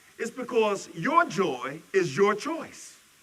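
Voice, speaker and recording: A man talks loudly and fairly slowly, his pitch swinging very widely. Noticeable background noise sits behind him. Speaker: minister. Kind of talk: sermon. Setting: church service.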